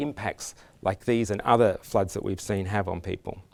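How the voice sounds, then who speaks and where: A man at a fairly quick pace, with an Australian accent. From Australia, Canberra. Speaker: conference speaker on resilience. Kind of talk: conference talk. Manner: halting, many restarts and fillers.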